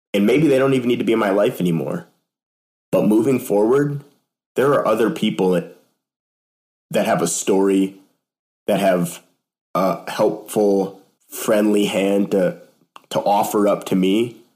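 Speaking at a moderate pace with long, frequent pauses, a man has a fairly low pitch, a dark, mellow tone, lively intonation and very even loudness. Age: 20s. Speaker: church staff member and sales worker. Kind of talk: casual chat.

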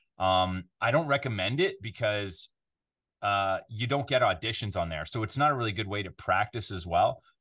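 Over a quiet background, a man with a normal speaking voice talks at a moderate pace, his fairly low pitch carried by lively intonation. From Canada. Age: 40s. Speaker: voiceover artist. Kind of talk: casual interview chat.

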